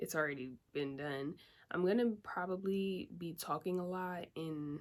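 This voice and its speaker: A soft-spoken woman talks at a fairly slow pace with a fairly low pitch and ordinary pitch variation. The recording is very clean, with a silent background. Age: 20s. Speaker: beauty vlogger. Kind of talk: casual vlog.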